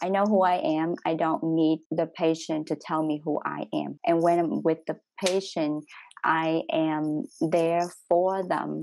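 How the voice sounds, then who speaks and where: In a Vietnamese accent, a woman speaks at a very slow pace with a fairly low pitch. Her intonation is monotone and flat, over a quiet background. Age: young. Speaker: doctor. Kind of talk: panel discussion. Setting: workshop.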